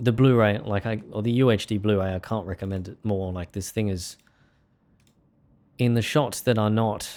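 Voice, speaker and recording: On a very clean recording with a silent background, a man with an Australian accent speaks at a moderate pace with a fairly low pitch and fairly even intonation, pausing long and often. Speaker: music producer and livestreamer. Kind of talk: casual livestream chat. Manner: casual, halting with fillers and repeats.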